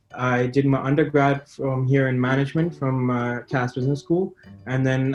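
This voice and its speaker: Music plays in the background as a man speaks at a medium pitch. His intonation is monotone and flat, at a moderate pace. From Dubai, UAE (Pakistani family). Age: 20s. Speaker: young entrepreneur, student. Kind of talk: interview. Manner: halting, many fillers.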